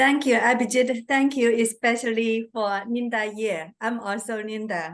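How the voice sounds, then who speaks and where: A woman with a Chinese accent and a fairly high pitch, at a fairly slow pace with hardly any pauses and ordinary pitch variation. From China. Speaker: Toastmasters club member giving vocal evaluation. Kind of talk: speech evaluation at club meeting.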